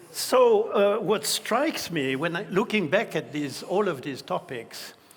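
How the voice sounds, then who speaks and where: A man speaks at a fairly slow pace, and noticeable background noise is present. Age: 70s. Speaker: retired IT executive and event co-host. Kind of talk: on-stage conversation. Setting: stage with audience.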